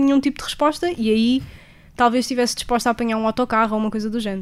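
Her pitch fairly high and her intonation fairly even, a woman talks at a very fast pace. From Portugal. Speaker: traveller. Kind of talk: interview.

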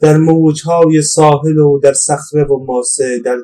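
A man talks at a fairly slow pace. His tone is dark and mellow, and somewhat breathy. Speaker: poet. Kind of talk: personal testimony. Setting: outdoors. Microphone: poor sound quality.

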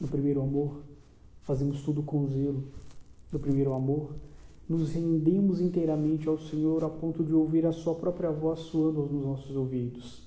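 This man's voice sits at a fairly high pitch, moving at a moderate pace with monotone, flat intonation. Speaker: preacher. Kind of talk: sermon, preacher in full flow, urgent exhortation and call to repentance. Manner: fervent, emphatic, pleading and rising in intensity.

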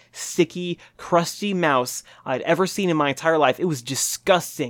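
A man's normal speaking voice sits at a fairly high pitch with ordinary pitch variation. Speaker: podcast host. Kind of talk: casual comedic banter. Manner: jokey, playful.

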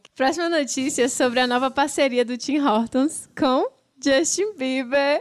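Her pitch high and ordinary in its variation, a woman speaks at a fairly slow pace. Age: 30s. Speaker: podcast host. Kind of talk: casual chat.

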